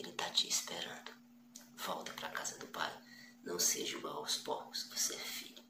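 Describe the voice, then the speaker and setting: Whispering at a fairly quick pace, a man leaves long, frequent pauses over noticeable background noise. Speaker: preacher. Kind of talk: sermon, passionate exhortation. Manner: animated, urgent, direct appeals to the listener; repetitive, rhetorical questions, conversational.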